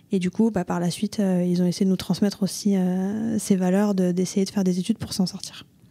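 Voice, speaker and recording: A woman's dark, mellow tone, monotone, flat intonation and fairly quick pace. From southern France, Toulouse. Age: 20s. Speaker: accountant and entrepreneur. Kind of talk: podcast interview. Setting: coworking space.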